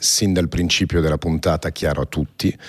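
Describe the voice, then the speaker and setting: A man with a very deep, low voice talks very fast in fairly even tones against a quiet background. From born in Paris. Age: 40s. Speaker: podcast host, entrepreneur. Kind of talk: interview. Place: studio. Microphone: studio mic.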